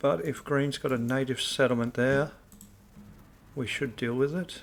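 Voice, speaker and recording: Soft-spoken, a man talks with ordinary pitch variation. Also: medium pitch for a man, moderate pace. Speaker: video game streamer. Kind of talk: gameplay commentary.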